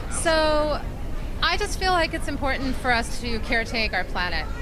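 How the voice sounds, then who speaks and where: Someone with an American accent speaks with very wide pitch swings. Crowd noise is heard in the background, along with audible room echo. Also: woman. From Minnesota, rural. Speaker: fashion designer. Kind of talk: interview. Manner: hesitant, many fillers.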